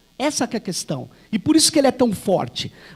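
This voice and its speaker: A man's voice at an extremely high pitch. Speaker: university professor, conference speaker. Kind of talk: academic conference talk. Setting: auditorium with audience.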